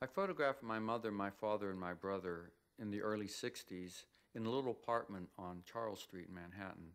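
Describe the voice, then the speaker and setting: A man with an American accent and a plain, everyday voice, fairly low in pitch, with ordinary pitch variation and a moderate pace. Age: 60s. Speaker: photographer. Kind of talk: documentary interview.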